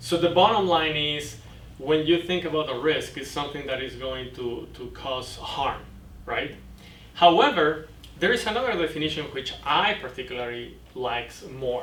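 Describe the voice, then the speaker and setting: A man with a Mexican accent speaks at a moderate pace, his fairly high voice full of lively intonation. Noticeable background noise and audible room echo are present. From Mexico. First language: Spanish. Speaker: boating safety instructor. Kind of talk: lecture. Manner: halting.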